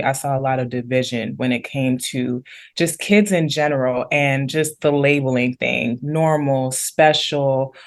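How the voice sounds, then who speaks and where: A woman speaks at a fairly slow pace with a Mid-Atlantic American accent and ordinary pitch variation. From Maryland, US (DC area). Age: 30s. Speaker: entrepreneur and life coach. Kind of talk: interview.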